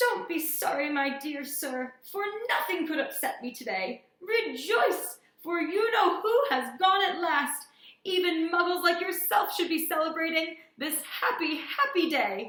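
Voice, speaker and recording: In a put-on character voice, a woman squeaks at an extremely high pitch and a fairly slow pace, with a slight echo. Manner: gleeful, excited.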